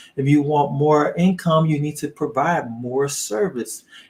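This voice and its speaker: A man speaking fairly slowly, his voice somewhat breathy. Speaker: online business coach. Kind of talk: live training. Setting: livestream.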